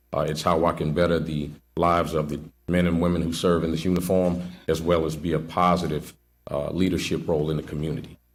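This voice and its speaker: Speech rushes out at a very fast clip in a flat monotone. Audible echo from the room surrounds it. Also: man, very deep, low pitch for a man. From New Orleans, Louisiana. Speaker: police sergeant, job candidate. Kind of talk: job interview before committee. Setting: public committee meeting, broadcast. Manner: halting, with fillers and repetitions.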